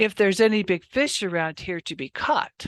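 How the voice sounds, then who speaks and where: In a put-on character voice, a female-sounding speaker sounds gruff and rumbling at a middle pitch and moderate pace over a quiet background. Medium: read story. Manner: gruff, grumbling.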